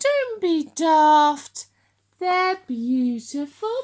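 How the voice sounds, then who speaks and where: This woman uses a put-on character voice. It is extremely high-pitched and squeaky. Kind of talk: bedtime story. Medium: read story.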